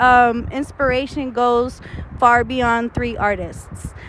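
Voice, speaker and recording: A woman speaks with an American accent at a very slow pace. Noticeable background noise runs under her voice. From Texas, Houston. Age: 20s. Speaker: rapper. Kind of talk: interview. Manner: casual, many fillers.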